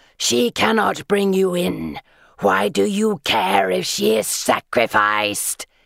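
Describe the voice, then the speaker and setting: A put-on character voice, low-pitched and hissing, moves at a fairly slow pace. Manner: hissing, screeching.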